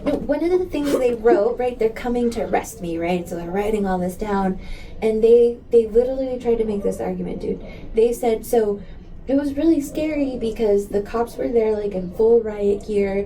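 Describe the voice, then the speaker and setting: Over noticeable background noise, a woman with a fairly high pitch and an American accent speaks in an animated tone at a moderate pace with ordinary pitch variation. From US Southwest border, El Paso, Texas. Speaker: community activist. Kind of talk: interview conversation.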